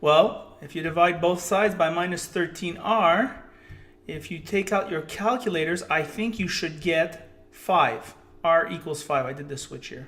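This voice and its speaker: A man's high voice at a fairly slow pace, with ordinary pitch variation, big swings in loudness and noticeable background noise. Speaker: math teacher. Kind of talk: tutorial. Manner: animated.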